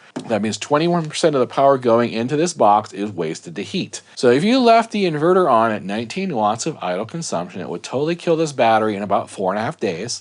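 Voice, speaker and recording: Over noticeable background noise, a man at medium pitch races along at a very fast pace with very wide pitch swings and hardly any pauses. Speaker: product reviewer. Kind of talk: product review.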